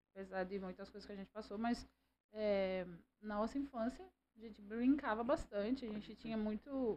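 With a plain, everyday voice, a woman talks at a moderate pace, fairly high in pitch, with ordinary pitch variation. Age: 40s. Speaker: businesswoman, host's mother. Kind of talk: casual interview.

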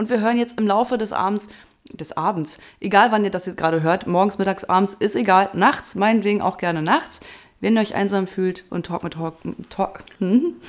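A woman's medium-pitched voice with lively intonation at a fairly quick pace. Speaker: podcast host and radio presenter. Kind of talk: casual chat.

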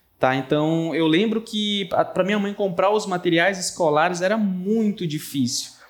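The man's high voice varies in pitch in an ordinary way at a moderate speed. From Brazil, Pará (Bragança). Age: 20s. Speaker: tech entrepreneur. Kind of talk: interview.

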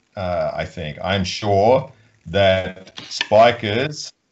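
A man's fairly low voice at a very slow pace. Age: 50s. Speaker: volleyball coach. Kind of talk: interview. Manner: halting.

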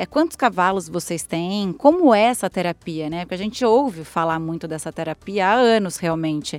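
In a very clean recording with a silent background, a woman with a normal speaking voice talks at a medium pitch and a moderate pace, her intonation lively. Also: hardly any pauses. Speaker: podcast host. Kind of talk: interview; scripted intro and outro.

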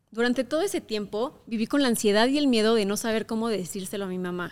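A woman with a central Mexican accent speaks at a fairly quick pace in a fairly high pitch, her pitch varying in an ordinary way, on a very clean recording with a silent background. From Mexico, Querétaro. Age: 20s. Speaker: podcast host, content creator. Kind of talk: personal monologue podcast.

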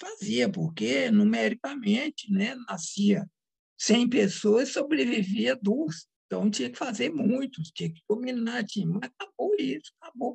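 At a fairly slow pace, a woman speaks with a fairly high pitch and vocal fry. Her pitch swings very widely. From Brazil, Minas Gerais. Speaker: psychoanalyst and author. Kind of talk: interview.

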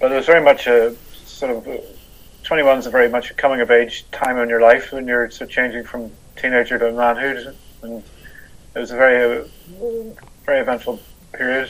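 A man with a Northern Irish accent at a medium pitch and fairly quick pace, with monotone, flat intonation, big swings in loudness and long, frequent pauses. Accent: Northern Irish (Belfast). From Northern Ireland, Belfast. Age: 60s. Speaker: motorcycle traveller. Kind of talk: interview.

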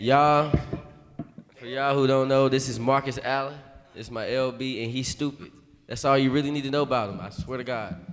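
Over background music, a man at a medium pitch talks fairly quickly, with long, frequent pauses and big swings in loudness. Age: 20s. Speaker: podcast co-host. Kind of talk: casual chat. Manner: animated.

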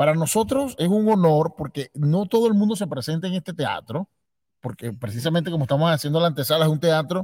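With a Venezuelan accent, a man talks at a fairly quick pace and a fairly high pitch, his intonation lively and the sound dry and close with no echo. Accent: regional Venezuelan. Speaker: podcast host. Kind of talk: casual interview. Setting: theater. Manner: halting.

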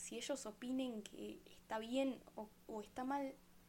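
A woman speaks with a Rioplatense accent at a high pitch. Her tone is dark and mellow, with ordinary pitch variation. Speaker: podcast host. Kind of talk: casual monologue.

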